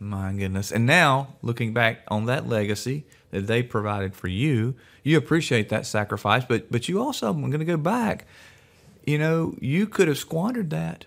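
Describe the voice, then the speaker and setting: In a very clean recording with a silent background, a man speaks at a medium pitch and a moderate pace, using an unremarkable speaking voice with lively intonation. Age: 60s. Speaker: podcast host. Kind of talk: interview.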